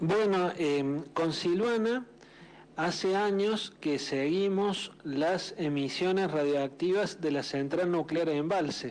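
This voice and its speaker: Very slow speech with very even loudness, in a Córdoba accent. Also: man, high pitch for a man, ordinary pitch variation. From Argentina, Córdoba. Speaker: journalist. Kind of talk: radio interview.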